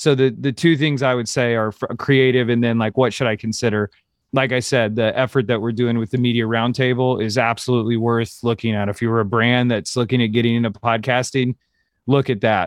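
Speaking at a fairly quick pace, a man with an American accent keeps a medium pitch. His intonation is monotone and flat. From US Midwest, Kansas City. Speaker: advertising creative director. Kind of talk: interview.

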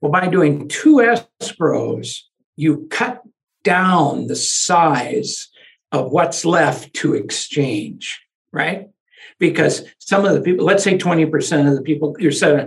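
Speaking fairly slowly, a man uses a fairly high pitch with vocal fry and ordinary pitch variation. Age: 70s. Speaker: lawyer. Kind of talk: interview.

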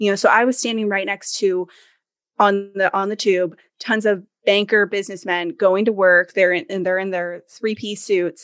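A woman speaks in an unremarkable speaking voice with fairly even intonation. The background is quiet. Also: medium pitch for a woman, moderate pace. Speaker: podcaster and business owner. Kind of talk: casual interview chat.

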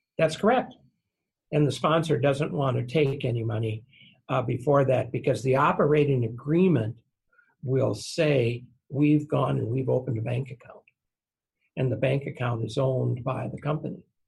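A man at medium pitch with vocal fry, ordinary pitch variation, a moderate pace and long, frequent pauses. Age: 70s. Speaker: real estate securities attorney. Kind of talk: interview. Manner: folksy.

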